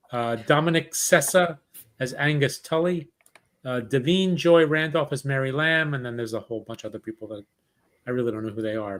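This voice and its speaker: A man's fairly high pitch with ordinary variation, a plain, everyday voice. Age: 50s. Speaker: podcast host. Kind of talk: casual chat. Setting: live podcast.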